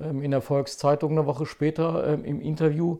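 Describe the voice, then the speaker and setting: In a very clean recording with a silent background, a man with an ordinary speaking voice talks slowly-ish at a fairly high pitch, keeping a fairly slow pace. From Saxony-Anhalt, eastern Germany (Zeitz). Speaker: podcast host, lawyer and politician. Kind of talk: casual chat.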